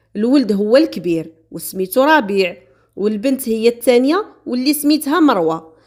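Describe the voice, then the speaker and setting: Her pitch rises and falls across a very wide range. The woman keeps a moderate pace. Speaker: true crime storyteller. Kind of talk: storytelling narration. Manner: casual, conversational.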